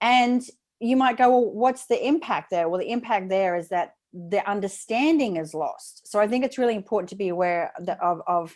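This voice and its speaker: A woman talks at a medium pitch with an Australian accent. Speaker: speaking coach. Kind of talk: interview. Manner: fast.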